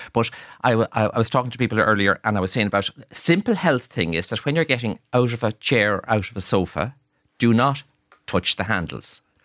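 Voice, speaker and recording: A man's medium-pitched voice in an Irish accent, very fast and with lively intonation, on a very clean recording with a silent background. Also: dry, close sound with no echo. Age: 60s. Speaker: hotelier and author. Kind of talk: radio interview. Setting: studio.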